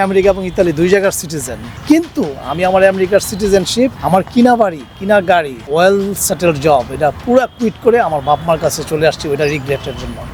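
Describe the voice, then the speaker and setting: Over background music, a man with a high-pitched voice speaks with lively intonation. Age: 50s. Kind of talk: street interview answer.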